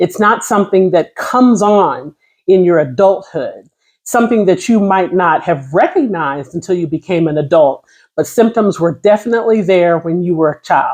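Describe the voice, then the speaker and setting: Against a quiet background, a woman with an ordinary speaking voice talks at a moderate pace and medium pitch with lively intonation. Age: 50s. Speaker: vlogger sharing personal experience. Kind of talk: casual personal talk to camera.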